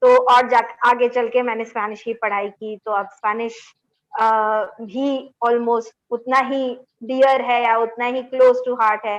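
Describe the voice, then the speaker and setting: A woman speaks with a Bengali accent at a fairly high pitch. Her intonation is monotone and flat. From India, Delhi. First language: Bengali (speaking Hindi). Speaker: linguist, assistant professor. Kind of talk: webinar panel discussion.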